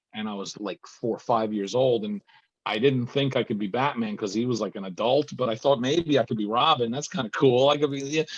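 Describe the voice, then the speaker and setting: Speaking at a fairly quick pace, a man with a medium pitch uses ordinary pitch variation. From New Jersey. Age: 60s. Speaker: comic book writer and novelist. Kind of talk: interview. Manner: halting, many restarts.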